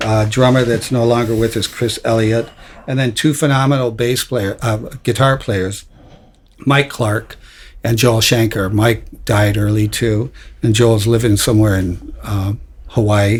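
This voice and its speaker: A man with an American accent speaks at a fairly slow pace, his medium-pitched voice somewhat breathy and his intonation fairly even. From Detroit, Michigan. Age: 70s. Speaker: rock bassist. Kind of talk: interview. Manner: halting, many fillers and repeats.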